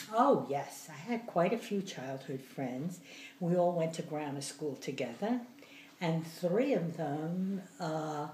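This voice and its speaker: A woman with an American accent talks at a very slow pace in a fairly low pitch, her intonation lively, with audible room echo around her. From New Jersey and the Bronx, New York. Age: 80s+. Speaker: grandmother interviewee. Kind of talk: interview.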